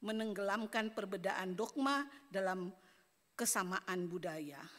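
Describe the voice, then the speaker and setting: A woman talks fairly slowly in a bright, sharp tone. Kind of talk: conference speech, read prepared text.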